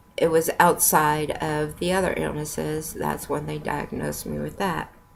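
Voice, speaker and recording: A woman talks with vocal fry. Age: 50s. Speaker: product user giving health testimony. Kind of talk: testimony. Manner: slurred speech; halting.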